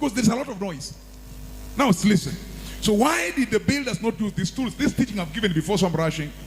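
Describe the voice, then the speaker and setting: Over noticeable background noise, a man with a high pitch races along at a very fast pace with lively intonation. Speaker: pastor. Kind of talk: sermon.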